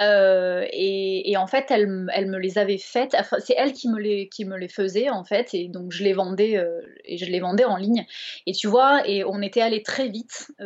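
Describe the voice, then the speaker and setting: A woman with a Bordeaux accent, medium pitch, ordinary pitch variation, and a fairly slow pace. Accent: southwestern French (Bordeaux). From France, Bordeaux. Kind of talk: casual interview chat.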